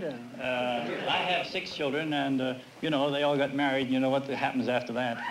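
A man with an American accent, fairly even intonation, a moderate pace and noticeable background noise. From New Jersey, USA. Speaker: contestant, grandfather. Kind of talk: interview answer on a quiz show. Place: studio. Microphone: podium.

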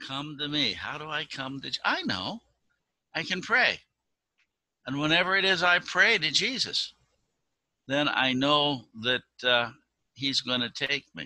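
The man's tone is bright and sharp, the sound dry with no echo over a quiet background. He goes at a fairly slow pace with long, frequent pauses. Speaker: pastor giving children's message. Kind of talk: sermon. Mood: warm, gentle, sincere. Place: home room. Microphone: video call.

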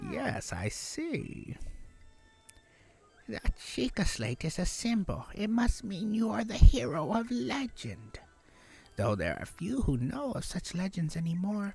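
A man does a put-on character voice at a high pitch with very wide pitch swings. He goes at a fairly slow pace, with faint music in the background. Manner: polite, reverent.

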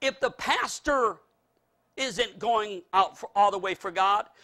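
Against a quiet background, a man speaks in a raised, projected voice with a bright, sharp, animated tone and ordinary pitch variation. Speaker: preacher. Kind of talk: sermon. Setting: church. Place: hall.

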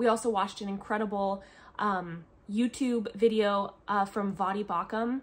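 A woman with an American accent talks at a moderate pace in a medium pitch, her intonation fairly even. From US Pacific Northwest. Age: 30s. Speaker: homeschooling mother and family vlogger. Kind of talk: casual vlog monologue. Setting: at home, filming a video. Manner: chatty, with frequent fillers. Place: home room. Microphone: phone near.

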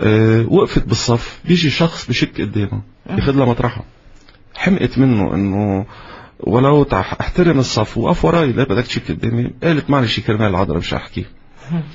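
With an unremarkable speaking voice, a man speaks at a medium pitch and moderate pace with lively intonation. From Lebanon. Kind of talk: interview. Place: studio. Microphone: studio mic.

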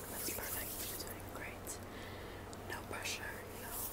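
A woman is speaking. Loud background noise is heard. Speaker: ASMR creator. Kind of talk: ASMR roleplay, soft spoken. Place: home room. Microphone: earbuds.

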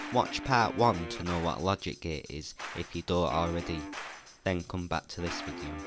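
Over clear background music, a quiet man with a very deep, low pitch and ordinary pitch variation talks at a moderate pace, the sound dry with no echo. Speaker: tech tutorial creator. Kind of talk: educational tutorial narration. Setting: poor microphone.

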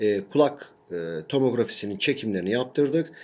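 The recording is very clean and the background silent. A man speaks at a moderate pace, his pitch varying in an ordinary way. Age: 40s. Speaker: academic and patient sharing his illness experience. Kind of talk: personal video testimony. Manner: hesitant with frequent fillers.

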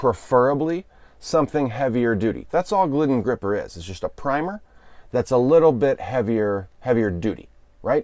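A man's dark, mellow tone, dry with no echo, against a quiet background. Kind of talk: tutorial. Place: car. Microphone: lapel.

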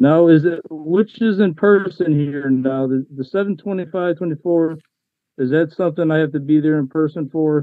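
A man's fairly high voice at a fairly slow pace, with ordinary pitch variation, a dry sound with no echo and a quiet background. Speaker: self-represented defendant. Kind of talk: court hearing. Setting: video call. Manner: argumentative. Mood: argumentative, insistent. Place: home room. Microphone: video call.

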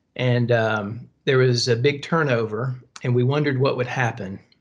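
A man with a Southern US accent speaks at a medium pitch. His pace is moderate and his intonation fairly even. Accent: Southern American. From US South, Tennessee. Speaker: pastor. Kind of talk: casual chat. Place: home room. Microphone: video call.

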